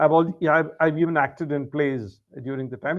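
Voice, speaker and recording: A man with a Keralan accent speaks fairly quickly at a fairly high pitch. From India, raised outside Kerala. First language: Malayalam. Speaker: English tutor. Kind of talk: casual chat.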